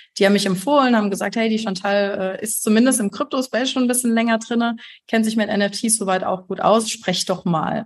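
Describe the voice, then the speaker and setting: Her voice somewhat breathy, a woman speaks at a fairly high pitch with fairly even intonation. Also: fairly quick pace. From Germany, Heidelberg. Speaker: graphic designer and art director. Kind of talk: podcast interview.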